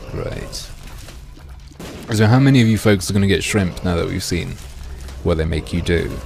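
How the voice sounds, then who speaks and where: A man's fairly low voice with lively intonation and long, frequent pauses, plus music in the background and audible room echo. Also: moderate pace. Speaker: gaming streamer. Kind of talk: live stream chat.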